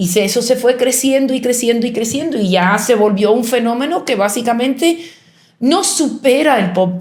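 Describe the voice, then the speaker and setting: In a room with audible echo, a woman speaks at a moderate pace with lively intonation. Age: 60s. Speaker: artist. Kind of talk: interview. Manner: halting, many fillers and self-corrections.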